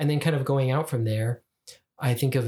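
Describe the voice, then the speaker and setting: Somewhat breathy, the man's voice carries an American accent. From Utah. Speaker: podcast co-host. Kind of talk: casual chat.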